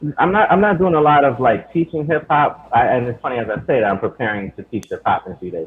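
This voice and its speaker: A man with an American accent talks at a very fast pace with hardly any pauses. His fairly high pitch swings very widely. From New York, Queens. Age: 30s. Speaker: rapper and hip hop teacher. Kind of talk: casual interview chat. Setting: live stream.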